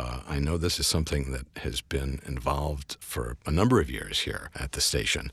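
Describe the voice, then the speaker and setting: A man speaks with a very deep, low voice. There is vocal fry in it. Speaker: station announcer and podcast host. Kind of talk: interview conversation on a podcast. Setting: studio.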